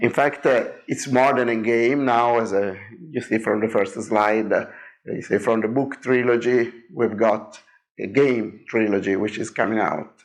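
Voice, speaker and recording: With an Italian accent, a man speaks at a medium pitch and moderate pace, keeping his intonation fairly even. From Italy. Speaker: game designer. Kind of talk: presentation. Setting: seminar room with audience. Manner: hesitant, many fillers.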